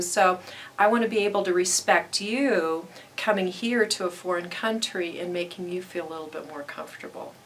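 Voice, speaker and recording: A woman speaks at a moderate pace and medium pitch, her loudness swinging widely. Noticeable background noise sits behind her. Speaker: academic advisor. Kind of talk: interview.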